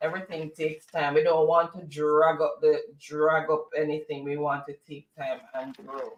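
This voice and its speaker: With a Jamaican accent, a man speaks at a moderate pace and a fairly high pitch, hardly pausing, his intonation flat and monotone while his loudness swings widely. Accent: Jamaican, kept. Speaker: co-host of a political talk show. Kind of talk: casual chat. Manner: halting.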